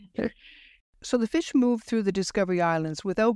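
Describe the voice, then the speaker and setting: On a very clean recording with a silent background and a dry, close sound with no echo, a woman speaks at a medium pitch with very wide pitch swings. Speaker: journalist and podcast host. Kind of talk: scripted documentary narration.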